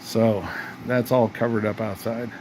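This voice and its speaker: Over noticeable background noise, a man speaks at a fairly slow pace in a medium pitch. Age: 60s. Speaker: retired car restoration hobbyist. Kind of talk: casual workshop vlog. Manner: animated.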